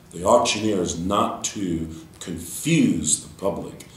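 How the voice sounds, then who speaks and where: A man with an American accent at a fairly slow pace, with noticeable background noise. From United States, Texas. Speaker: auctioneer. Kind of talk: interview answer. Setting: conference interview.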